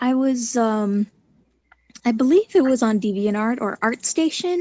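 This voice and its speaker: Soft-spoken and high-pitched, a woman talks at a fairly slow pace with a dark, mellow tone and lively intonation, in a dry, close sound with no echo. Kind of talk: casual chat.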